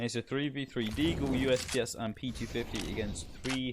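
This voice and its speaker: Someone speaks in a British accent at a fairly quick pace. Noticeable background noise runs underneath. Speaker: esports caster. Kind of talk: live commentary. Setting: live stream. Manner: fast.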